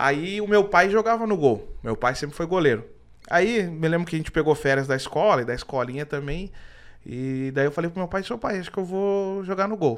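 A man speaks at a moderate pace in a high voice. The recording is very clean, with a silent background. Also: lively intonation. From southern Brazil (Rio Grande do Sul). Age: 30s. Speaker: football humor YouTuber. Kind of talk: casual interview chat.

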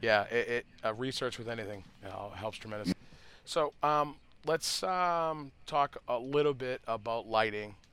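A man speaks in a Boston accent at a medium pitch, his tone bright and sharp. He keeps a moderate pace with ordinary pitch variation on a very clean recording with a silent background. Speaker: cannabis grower podcast host. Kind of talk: casual unscripted chat between two growers. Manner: relaxed, loose, filler-heavy.

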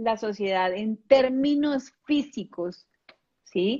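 Lively intonation marks a woman's speech as she proceeds at a very slow pace. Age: 40s. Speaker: ontological coach. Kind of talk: casual chat.

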